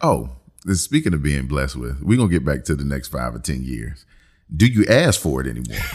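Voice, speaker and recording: A man's very deep, low voice with vocal fry, lively intonation and a fairly quick pace. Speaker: podcast host. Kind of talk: casual chat, joking banter.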